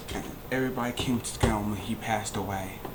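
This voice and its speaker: A man's fairly quick, fairly even delivery amid noticeable background noise and audible room echo. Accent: American. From Kentucky (Louisville). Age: 20s. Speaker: vlogger. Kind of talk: personal life story monologue. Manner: halting.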